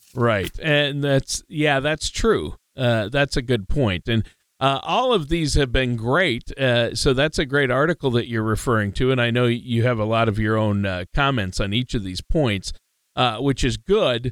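Recorded very cleanly with a silent background and a dry, close sound with no echo, a man speaks in a normal speaking voice at medium pitch with ordinary pitch variation. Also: fairly slow pace. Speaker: co-host. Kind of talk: casual talk show chat.

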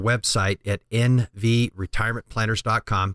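The recording is very clean, with a silent background and a dry, close sound with no echo. A man speaks in an ordinary speaking voice at a medium pitch with ordinary pitch variation. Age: 50s. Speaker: financial planner radio host. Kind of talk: informational radio talk show. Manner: explanatory, conversational.

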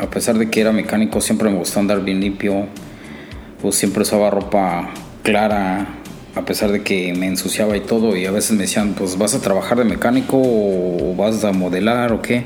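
Monotone, flat speech at a moderate pace, with audible room echo and music in the background. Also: man. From Mexico, Cuautla, Morelos. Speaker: mechanic. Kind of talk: personal testimony. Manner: halting, frequent repetitions.

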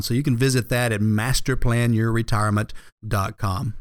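Here a man with an American accent speaks at medium pitch in a normal speaking voice. The recording is very clean with a silent background. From Georgia, US South. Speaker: financial advisor. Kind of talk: radio financial advice show.

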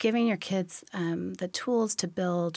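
A normal speaking voice with an American accent. The pitch varies in an ordinary way. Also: woman. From Washington State, Olympia area. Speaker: parenting journalist. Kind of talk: interview.

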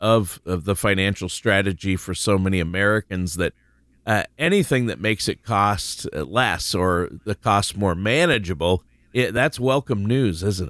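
In a dry, close sound with no echo, a man speaks at a moderate pace with a fairly low pitch. He has an unremarkable speaking voice with lively intonation. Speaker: co-host of financial radio show. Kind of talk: radio show discussion.

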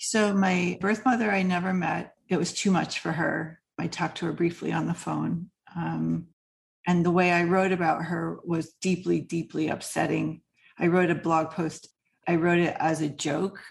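Vocal fry runs through fairly even intonation at a moderate pace. The background stays quiet. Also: woman, fairly low pitch for a woman. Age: 50s. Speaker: writing coach and author. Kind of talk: casual interview.

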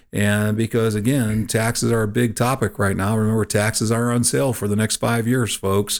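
On a very clean recording with a silent background, a man speaks in an unremarkable speaking voice at a medium pitch. He talks at a fairly quick pace with fairly even intonation. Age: 50s. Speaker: financial advisor and radio show co-host. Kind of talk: casual chat.

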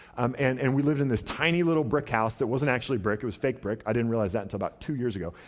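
A man talks at a very fast pace with hardly any pauses, his pitch medium and its variation ordinary. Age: 30s. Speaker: pastor. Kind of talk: sermon. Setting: church.

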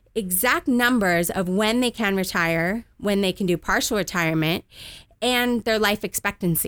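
Speaking at a fairly slow pace with a Californian accent, a woman uses a medium pitch and ordinary pitch variation on a very clean recording with a silent background. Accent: Californian American. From Southern California. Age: 30s. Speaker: financial advisor. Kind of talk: radio interview.

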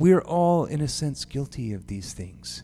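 A man's fairly high voice at a fairly slow pace, very wide pitch swings, music in the background. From Japan. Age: 30s. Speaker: pastor. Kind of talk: sermon.

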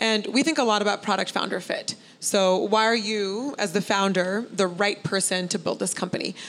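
With hardly any pauses and very even loudness, a woman speaks at a moderate pace in a plain, everyday voice, medium in pitch with ordinary pitch variation. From Oregon, US (Beaverton); Indian immigrant family. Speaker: venture capitalist. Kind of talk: live interview. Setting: live event with audience, streamed.

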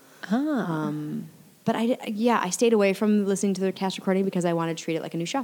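Over noticeable background noise, a woman talks at a very fast pace, with a medium pitch and ordinary pitch variation. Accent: American. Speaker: actress. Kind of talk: casual chat.

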